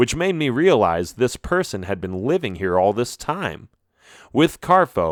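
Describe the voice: Quiet background under plain reading aloud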